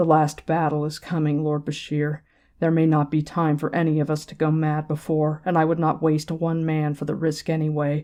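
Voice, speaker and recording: Heard in a very clean recording with a silent background, a put-on character voice holds a middle pitch and monotone, flat intonation at a moderate pace. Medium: read story. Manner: grave, intense.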